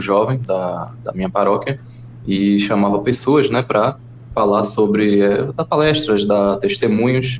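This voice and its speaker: Over noticeable background noise, a man speaks at a fairly slow pace with a fairly low pitch. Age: 30s. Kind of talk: testimony.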